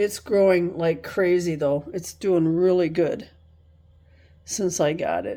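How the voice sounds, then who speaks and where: Her tone is relaxed, her intonation monotone and flat. The woman speaks fairly slowly at a fairly low pitch. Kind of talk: casual talk to camera. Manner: relaxed, rambling.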